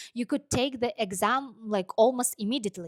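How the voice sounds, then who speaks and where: At a moderate pace, a woman speaks with high pitch and ordinary pitch variation in a dry, close sound with no echo. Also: very clean recording, silent background. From Kazakhstan. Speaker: vlogger and truck driver. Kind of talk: personal story monologue. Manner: hesitant, many fillers.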